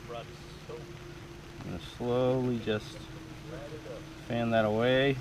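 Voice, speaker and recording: Speaking at a very slow pace with long, frequent pauses, a man with a Maine accent uses medium pitch and lively intonation, against noticeable background noise and audible room echo. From Maine, Farmington. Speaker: gold prospecting equipment inventor. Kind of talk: product demonstration.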